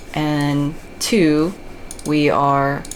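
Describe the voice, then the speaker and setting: With an American accent, the voice comes through noticeable background noise and audible room echo. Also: woman. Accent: American, thick (self-described jokingly). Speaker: video game guide creator. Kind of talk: commentated gameplay tutorial. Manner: casual, many fillers and restarts.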